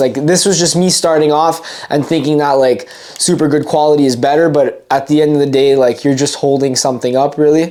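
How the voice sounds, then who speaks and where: Over noticeable background noise, a woman with a very deep, low voice talks at a very fast pace. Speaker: fishing YouTuber. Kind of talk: tutorial. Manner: animated.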